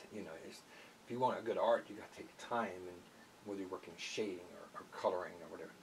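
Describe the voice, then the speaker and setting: A man talks at a very fast pace while noticeable noise carries on behind him. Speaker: army veteran, guitarist and artist. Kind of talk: interview. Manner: halting.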